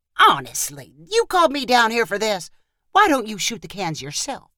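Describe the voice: A woman's put-on character voice, fairly high in pitch, with a bright, sharp tone, very wide pitch swings and a moderate pace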